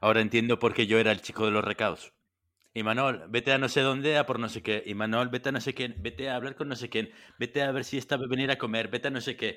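A man talks at a very fast pace. His voice sits at a medium pitch with fairly even intonation. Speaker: podcast host. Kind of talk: casual chat.

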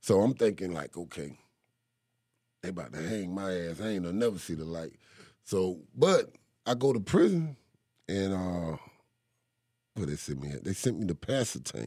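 Speaking at a moderate pace with long, frequent pauses, a man with a North Carolina accent has a very deep, low pitch, a dark, mellow tone and ordinary pitch variation. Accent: Southern US, North Carolina. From eastern North Carolina, Kinston. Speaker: rapper. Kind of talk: casual interview.

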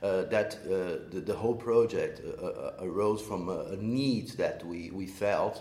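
A man speaks very slowly with a Portuguese accent, and the room echo is audible. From Brazil. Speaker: social entrepreneur, co-working space co-founder. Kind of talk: interview. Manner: halting, many repeated words.

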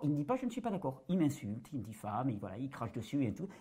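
A man with a dark, mellow tone speaks very fast. His voice is somewhat breathy, and his pitch swings very widely. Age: 40s. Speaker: natural health video creator. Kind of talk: interview testimony.

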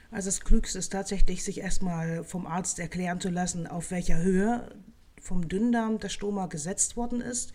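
Speaking at a moderate pace, a woman with a medium pitch and a dark, mellow tone keeps her intonation fairly even while her loudness swings widely. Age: 40s. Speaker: nutrition scientist. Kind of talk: expert interview.

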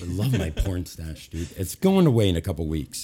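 Very deep, low male voice, somewhat breathy, with a dark, mellow tone, ordinary pitch variation and a fairly quick pace. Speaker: radio show co-host.

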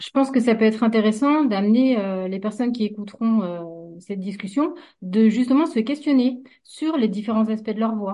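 A woman's somewhat breathy, dark and mellow voice, fairly high in pitch, with ordinary pitch variation and a moderate pace. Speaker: hypnotherapist. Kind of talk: casual discussion. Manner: frequent filler hesitations.

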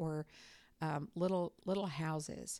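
A woman's very deep, low voice with a dark, mellow tone and fairly even intonation, on a very clean recording with a silent background. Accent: Southern US. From North Carolina. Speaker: university professor. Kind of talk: interview.

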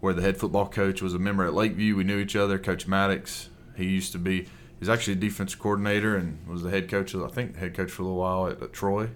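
With an Alabama accent, a man talks at a very fast pace in a fairly low, monotone voice with flat intonation. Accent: Southern US (Alabama). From Alabama, US South. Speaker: Bible teacher and coach. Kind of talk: interview conversation.

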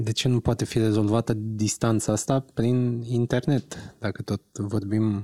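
A man speaks at a medium pitch with a dark, mellow tone. His delivery is fairly slow and flat, recorded dry and close with no echo. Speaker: podcast co-host. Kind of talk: casual interview.

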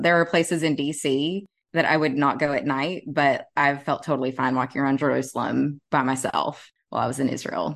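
Over a quiet background, a woman with a Southern US accent talks at a fairly quick pace in a very deep, low voice with fairly even intonation. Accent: Southern US, deeper than John's. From Tennessee, US South. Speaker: podcast co-host and travel blogger. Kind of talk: casual conversational podcast.

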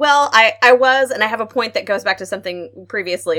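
There's a bright, sharp tone to this woman's voice, and she has an American accent. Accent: Southern US, thicker than normal today. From Arkansas. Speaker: opera podcast co-host. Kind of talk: casual panel chat. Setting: remote call from family home.

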